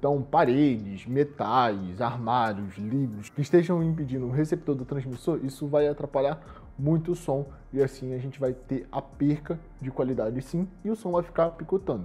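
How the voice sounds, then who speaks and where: Fairly high-pitched, somewhat breathy male voice with lively intonation at a moderate pace. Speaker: shop presenter reviewing products. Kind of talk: product review tutorial. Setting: studio.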